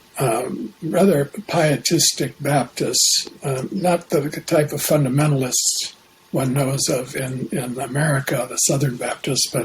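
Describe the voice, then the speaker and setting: With a Canadian accent, a man speaks at a fairly slow pace in a fairly high pitch over noticeable background noise. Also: ordinary pitch variation. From Canada, Saskatchewan. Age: 70s. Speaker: Jungian analyst. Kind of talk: interview.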